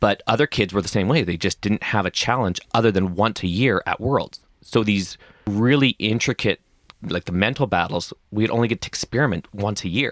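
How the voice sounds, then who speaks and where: With a Canadian accent, a man talks at a moderate pace in a fairly low voice with ordinary pitch variation and very even loudness, the sound dry and close with no echo in a very clean recording with a silent background. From Canada. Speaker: rock climber and coach. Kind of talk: casual interview chat.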